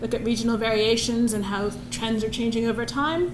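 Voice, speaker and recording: Amid noticeable background noise and audible room echo, a woman speaks fairly quickly at a fairly high pitch. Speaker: researcher. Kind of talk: conference presentation.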